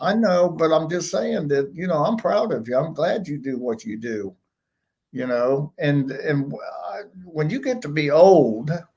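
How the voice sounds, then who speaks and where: Fairly slowly and with lively intonation, a man speaks at a fairly high pitch with a dark, mellow tone and a somewhat breathy sound. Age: 70s. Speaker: host's father, guest. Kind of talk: casual live-stream chat.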